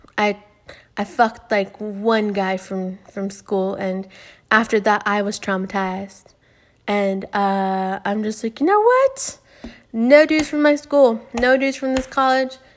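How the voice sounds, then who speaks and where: An ordinary speaking voice, with ordinary pitch variation at a fairly slow pace. The recording is very clean, with a silent background. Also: woman, fairly high pitch for a woman. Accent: American. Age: 20s. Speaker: podcast host. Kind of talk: casual solo monologue. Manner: rambling with many fillers.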